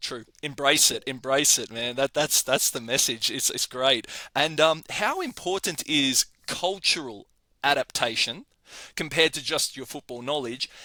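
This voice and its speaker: Recorded very cleanly against a silent background with a dry, close sound and no echo, a man with an Australian accent speaks at a moderate pace in a fairly high pitch, his tone bright and sharp and his pitch variation ordinary. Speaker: podcast host. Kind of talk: interview.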